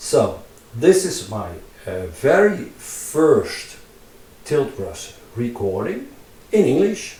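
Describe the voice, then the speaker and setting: Very slow speech from a man with a Dutch accent, long, frequent pauses, audible room echo and noticeable background noise. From Netherlands. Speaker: digital artist and tutorial maker. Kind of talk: casual vlog narration while drawing in VR. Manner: halting, many fillers and repetitions.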